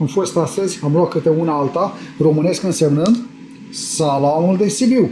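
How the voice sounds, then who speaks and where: A man's high voice at a moderate pace, with ordinary pitch variation and very even loudness, over noticeable background noise. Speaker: vlogger. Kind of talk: casual vlog chat. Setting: shopping centre.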